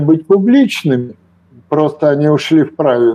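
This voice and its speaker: With a dark, mellow tone, a man talks at a fairly slow pace. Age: 70s. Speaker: retired investor and author. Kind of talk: casual chat.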